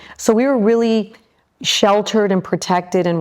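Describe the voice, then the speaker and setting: A woman at a moderate pace in a Midwestern American accent, with ordinary pitch variation. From Michigan, US Midwest. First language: Spanish. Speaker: aerospace executive. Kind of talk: interview. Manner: hesitant, many fillers.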